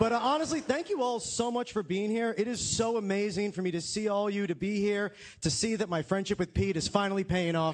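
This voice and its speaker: A man with a high pitch and ordinary pitch variation talks fairly quickly while noticeable background noise carries on. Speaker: stand-up comedian. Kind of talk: live stand-up comedy set.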